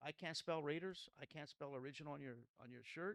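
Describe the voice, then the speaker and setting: A man with an American accent, fairly high-pitched with lively intonation, in a dry, close sound with no echo. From Los Angeles area, California (Pico Rivera). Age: 60s. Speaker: pastor. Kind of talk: testimony. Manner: halting.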